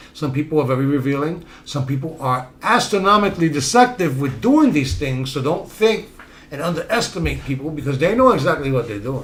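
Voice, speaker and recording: A man with a Bronx accent talks at a very fast pace in a fairly high voice. There is audible room echo. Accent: Bronx New York way of speaking. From New York City, South Bronx. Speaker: self-help podcast host. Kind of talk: motivational talk.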